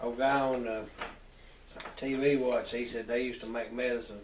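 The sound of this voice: The speech shows little pitch movement, with audible room echo around it. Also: man, medium pitch for a man, moderate pace.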